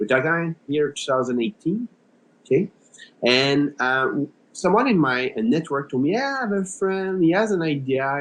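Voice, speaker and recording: A man speaks with a French Canadian accent at a fairly high pitch. His intonation is lively and his pace moderate. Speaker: startup co-founder, HR executive. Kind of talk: podcast interview. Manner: hesitant, many filler words.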